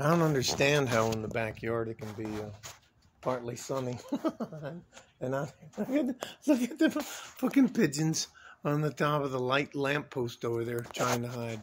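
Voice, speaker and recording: A man talks at a moderate pace with ordinary pitch variation over light background noise. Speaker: vlogger. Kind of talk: casual vlog chat. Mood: playful, joking. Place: street. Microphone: phone near.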